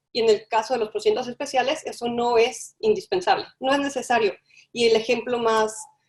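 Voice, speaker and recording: With ordinary pitch variation, the words come out at a fairly quick pace. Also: woman, high pitch for a woman. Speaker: webinar moderator presenting human rights mechanisms. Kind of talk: webinar presentation. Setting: online webinar.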